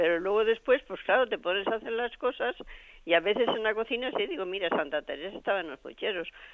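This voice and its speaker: A woman talks at a very fast pace. Her pitch is fairly high, and her intonation is lively. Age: 70s. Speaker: caller, former nun. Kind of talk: call-in question. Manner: halting, repetitive.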